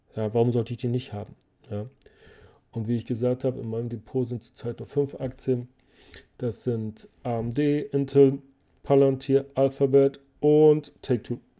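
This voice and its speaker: A man with a dark, mellow tone and medium pitch talks at a fairly slow pace, his loudness swinging widely between long, frequent pauses. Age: 40s. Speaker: finance podcast host. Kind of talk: casual Q&A monologue. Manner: animated.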